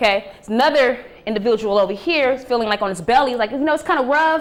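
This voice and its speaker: A woman speaks in an animated tone. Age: 30s. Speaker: preacher and spiritual speaker. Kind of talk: talk to a live audience.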